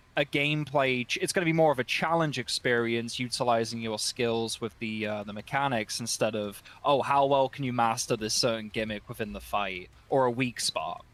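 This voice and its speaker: Fairly quick male speech at a medium pitch. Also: ordinary pitch variation, hardly any pauses. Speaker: gaming content creator. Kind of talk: panel discussion. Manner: halting; animated.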